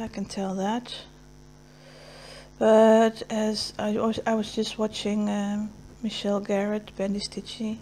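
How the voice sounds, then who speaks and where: A somewhat breathy woman's voice, fairly high in pitch, with a dark, mellow tone, flat monotone intonation and a fairly slow pace. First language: Dutch. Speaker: cross stitch video creator. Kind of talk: casual chat while stitching. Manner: halting.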